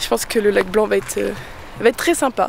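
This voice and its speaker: Noticeable noise sits behind a woman who talks at a fairly fast clip. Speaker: van-life vlogger. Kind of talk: travel vlog. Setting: outdoors on a hike. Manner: casual, hesitant with many fillers.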